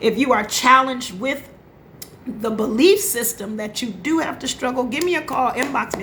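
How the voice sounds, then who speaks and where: With an animated tone and lively intonation, a woman speaks at a fairly high pitch in a room with audible echo. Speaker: life coach. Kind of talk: motivational live stream talk. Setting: Facebook live audio. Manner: occasional stutter or slips.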